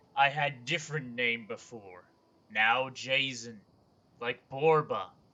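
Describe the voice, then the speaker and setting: A man's gravelly, put-on character voice at a medium pitch and a fairly slow pace. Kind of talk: broken simple speech.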